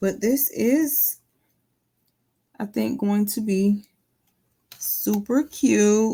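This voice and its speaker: A woman speaks very slowly with long, frequent pauses, her pitch fairly high and ordinarily varied. Her tone is dark and mellow, somewhat breathy. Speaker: crafting YouTuber. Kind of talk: craft tutorial. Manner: casual, chatty.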